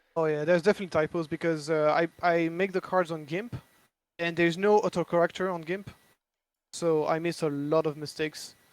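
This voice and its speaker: A man's high voice with a French accent, flat monotone intonation and a fairly quick pace, in a dry, close sound with no echo. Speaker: board game designer. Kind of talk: casual chat. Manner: halting.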